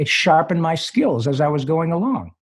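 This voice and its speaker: A plain, everyday voice from a man, fairly high-pitched, lively in intonation and medium in tempo. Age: 60s. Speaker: voice actor. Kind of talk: interview answer.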